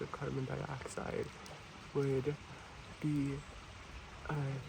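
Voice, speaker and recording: Background noise is noticeable. The pace is very slow. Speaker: ASMR creator / environmental educator. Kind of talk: ASMR soft-spoken educational talk to camera.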